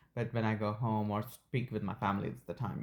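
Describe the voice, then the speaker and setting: With a non-native accent, a man speaks at a moderate pace in a fairly low pitch and a dark, mellow tone. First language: not English. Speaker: podcast co-host. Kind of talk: casual chat.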